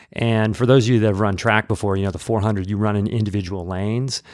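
A man with a Midwestern American accent on a very clean recording with a silent background. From US Midwest, Peoria, Illinois. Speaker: running coach and teacher. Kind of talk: casual interview.

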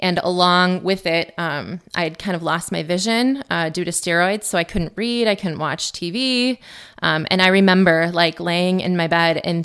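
A woman talks at a moderate pace in a fairly low pitch. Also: very clean recording, silent background. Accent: Upper Midwest. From central Wisconsin. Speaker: cancer survivor, math teacher. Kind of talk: interview testimony. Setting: studio.

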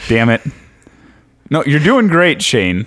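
A man's voice at a medium tempo, ranging enormously in pitch. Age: 20s.

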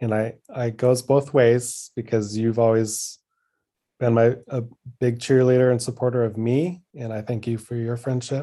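At a moderate pace, a man talks in a flat monotone with a medium pitch and a dark, mellow tone. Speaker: creative partner, guest. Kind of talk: casual chat.

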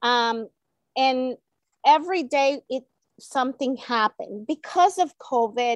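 In a Spanish accent, a woman with a high pitch speaks fairly slowly with long, frequent pauses, her voice dry and close with no echo. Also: ordinary pitch variation. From El Salvador. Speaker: elementary Spanish teacher. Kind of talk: interview.

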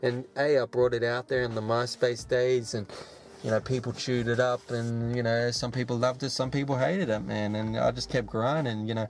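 A man talks at a fairly quick pace with an Australian accent. His voice sits at a medium pitch. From Australia, Sydney. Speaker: hip hop artist. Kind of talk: casual interview monologue. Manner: animated.

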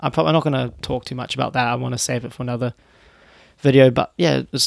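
A man speaks in a New Zealand accent at a very fast pace. His pitch sits in the middle range. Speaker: solo podcaster and YouTuber. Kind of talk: casual solo monologue. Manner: halting, many fillers and restarts.

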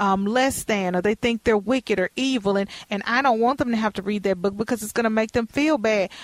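An ordinary speaking voice with an American accent moves at a fairly quick pace with ordinary pitch variation, the sound dry and close with no echo. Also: woman. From Texas. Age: 40s. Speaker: podcast host. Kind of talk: interview.

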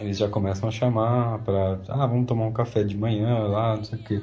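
Music plays behind a man talking at a fairly quick pace, with audible room echo. His voice is fairly low, with ordinary pitch variation. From São Paulo, Brazil. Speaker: product manager, Brazilian expat. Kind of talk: casual chat.

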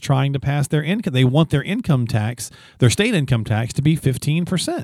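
In an unremarkable speaking voice, a man with fairly high pitch and lively intonation talks at a moderate pace, the very clean recording dry and close with no echo and a silent background. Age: 50s. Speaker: podcast co-host. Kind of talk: casual chat.

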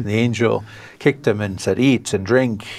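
With an American accent, a man speaks at a medium pitch. His pace is moderate and his intonation fairly even. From western New York State, US. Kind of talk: interview.

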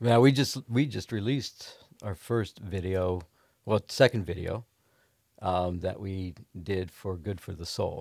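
A man with an American accent speaks at a fairly slow pace in a fairly low pitch, with ordinary pitch variation, big swings in loudness and a plain, everyday voice, on a very clean recording with a silent background. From Ohio. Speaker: guitarist in a band.

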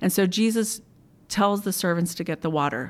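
A woman talks in a normal speaking voice at a moderate pace. Her pitch is fairly low with ordinary variation, on a very clean recording with a silent background. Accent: American. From US, Maryland (Montgomery County). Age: 40s. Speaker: churchgoer sharing healing testimony. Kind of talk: testimony.

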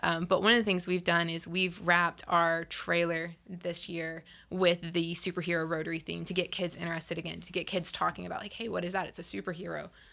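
In a very clean recording with a silent background, a woman with an American accent talks at a fairly quick pace with hardly any pauses, her fairly low voice bright and sharp with vocal fry, flat monotone intonation and big swings in loudness. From Florida Panhandle, Panama City. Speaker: insurance agent and service club president. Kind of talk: casual interview. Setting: studio.

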